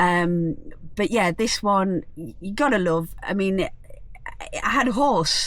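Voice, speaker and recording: A woman speaks with an English accent at a medium pitch. Her pace is fairly slow and her intonation lively. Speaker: vlogger. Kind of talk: casual vlog narration. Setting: outdoors at a campsite.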